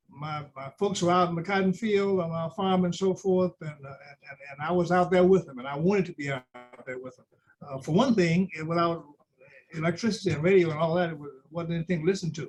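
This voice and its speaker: A man speaks very fast in a high pitch with a Louisiana accent. His loudness swings widely over music in the background. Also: ordinary pitch variation. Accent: Southern US (Louisiana). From Louisiana, rural. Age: 70s. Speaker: judge. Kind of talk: interview.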